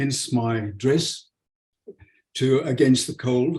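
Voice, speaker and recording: A somewhat breathy man at a fairly high pitch and a very slow pace. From South Africa (born Leeds, England). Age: 80s+. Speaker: homeopathic doctor and lecturer. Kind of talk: webinar lecture. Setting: video call webinar.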